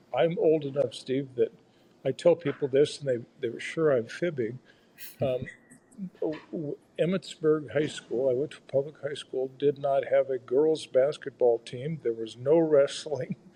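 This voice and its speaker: In an American accent, a man talks at a fairly slow pace with a fairly high pitch, a dark, mellow tone and a somewhat breathy quality, keeping his intonation fairly even while his loudness swings widely. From rural Iowa. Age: 70s. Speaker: federal judge. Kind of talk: casual interview chat. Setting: podcast interview.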